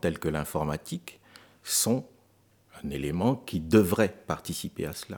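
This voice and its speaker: His pace is very slow. The man's very deep, low voice shows ordinary pitch variation. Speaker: charity volunteer, family elder of a Beninese village. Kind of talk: radio interview. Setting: studio. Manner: halting.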